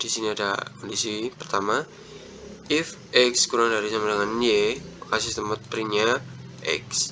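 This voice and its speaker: A man talks at a moderate pace and medium pitch, with fairly even intonation and long, frequent pauses. Noticeable background noise is present. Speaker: student presenter. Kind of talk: tutorial. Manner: halting.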